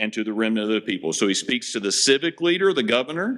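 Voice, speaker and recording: The tone is bright and sharp, and the voice is loud. Its pitch swings very widely. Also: man. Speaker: pastor. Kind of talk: sermon.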